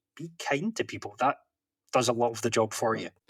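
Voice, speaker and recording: The speaker talks at a fairly quick pace in a Scottish accent. The sound is dry and close, with no echo. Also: man. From Scotland. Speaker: professional interpreter and author. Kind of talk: podcast interview.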